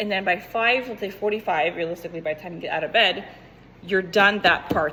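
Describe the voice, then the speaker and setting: A woman speaks in an animated tone at a very fast pace amid noticeable background noise. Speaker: fitness coach. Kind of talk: tutorial.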